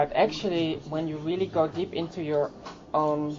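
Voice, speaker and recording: A woman's very deep, low voice with a dark, mellow tone, fairly even intonation and a fairly slow pace, with audible room echo. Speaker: transgender activist. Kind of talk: conference workshop talk. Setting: conference workshop. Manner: halting, many fillers.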